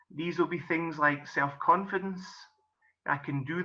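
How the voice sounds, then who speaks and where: This voice has a bright, sharp tone and fairly even intonation, with a Scottish accent. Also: man. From Scotland. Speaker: golf coach and business coach. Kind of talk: presentation.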